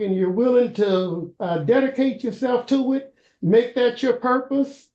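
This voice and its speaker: Someone with a Kentucky accent speaks at a moderate pace. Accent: US South, Kentucky. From Louisville, Kentucky. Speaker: school board candidate, retired college professor. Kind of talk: interview. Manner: hesitant, many fillers.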